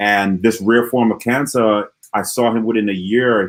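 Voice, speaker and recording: On a very clean recording with a silent background, a man with an Antiguan accent speaks at a moderate pace and a fairly low pitch. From Antigua and Barbuda. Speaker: motivational speaker. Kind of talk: interview Q&A. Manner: animated.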